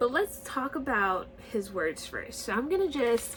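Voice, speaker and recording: A woman speaking at a very slow pace over noticeable background noise. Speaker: YouTuber discussing TV shows. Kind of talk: casual vlog commentary. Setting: home recording, camper outside window. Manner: halting with repetitions.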